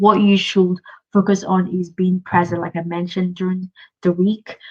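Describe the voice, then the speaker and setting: A woman with a medium-pitched, somewhat breathy voice talks at a moderate pace in a flat monotone. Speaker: business coach. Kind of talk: live Q&A webinar.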